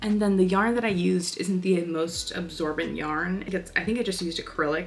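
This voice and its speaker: A woman speaks at a fairly quick pace in an animated tone with ordinary pitch variation. Noticeable background noise is audible. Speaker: crochet content creator. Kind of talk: casual vlog talk-through. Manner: animated, chatty.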